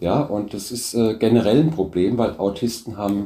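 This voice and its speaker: A man's fairly low, dark and mellow voice, somewhat breathy, with lively intonation at a fairly slow pace. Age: 60s. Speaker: business founder. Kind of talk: interview.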